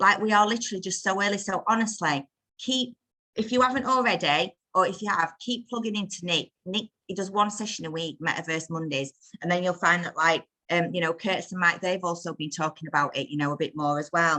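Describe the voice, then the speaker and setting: Speaking at a fairly quick pace, a woman with a northern English accent uses a medium pitch and a bright, sharp tone. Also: ordinary pitch variation. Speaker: crypto community call presenter. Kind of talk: casual group video call talk. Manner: fast; animated.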